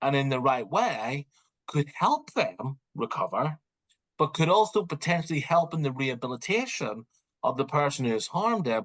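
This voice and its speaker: A man with a Northern Irish accent speaks at a fairly high pitch, swinging very widely in pitch. The sound is dry and close, with no echo. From Northern Ireland. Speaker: criminology professor. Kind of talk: interview.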